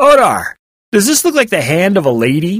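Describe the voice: Putting on a character voice, a man speaks high for a man with a fairly bright tone, a slightly husky edge and very wide pitch swings. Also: moderate pace.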